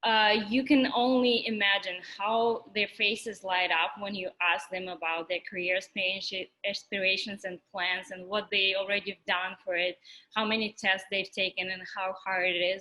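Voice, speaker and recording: With a Russian accent, a woman talks at a moderate pace in a bright, sharp tone, with a medium pitch and fairly even intonation. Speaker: physics teaching assistant. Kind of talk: orientation talk. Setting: virtual orientation.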